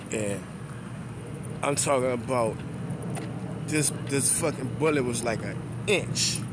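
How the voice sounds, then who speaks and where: Loud background noise surrounds a man who speaks with long, frequent pauses. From New Orleans, Louisiana (12th Ward). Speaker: YouTuber vlogger. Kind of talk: casual vlog monologue. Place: street. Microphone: phone near.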